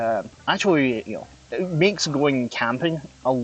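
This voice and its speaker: Backed by music, a man with a strong Scottish accent talks at a fairly slow pace with lively intonation. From Scotland, west. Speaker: vtuber streamer. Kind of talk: casual live stream chat with gameplay. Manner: halting, many fillers.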